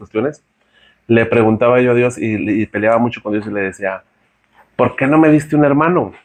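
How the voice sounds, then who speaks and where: Talking at a fairly quick pace, a man uses ordinary pitch variation. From Mexico, San Luis Potosí. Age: 40s. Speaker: podcast guest sharing his testimony. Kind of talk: testimony. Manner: halting, many fillers and repeats.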